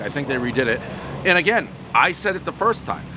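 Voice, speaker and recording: A man talking at a fairly quick pace, with noticeable background noise and a dry sound with no echo. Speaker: food reviewer. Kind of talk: casual review commentary. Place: street.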